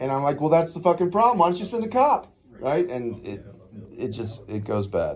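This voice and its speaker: Loud and fairly quick, a man talks with very wide pitch swings. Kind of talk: confrontational encounter.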